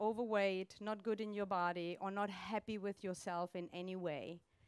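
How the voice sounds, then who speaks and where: A woman with a German accent at a fairly slow pace, in a very clean recording with a silent background. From Germany. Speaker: coach and speaker. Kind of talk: motivational talk. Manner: animated.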